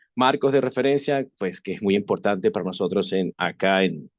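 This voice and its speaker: Speaking with a Venezuelan accent, a man keeps a moderate pace and lively intonation. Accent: Venezuelan Spanish accent, noted by himself. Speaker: webinar presenter on AI governance. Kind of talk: webinar lecture. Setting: online webinar. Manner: hesitant, many fillers and restarts.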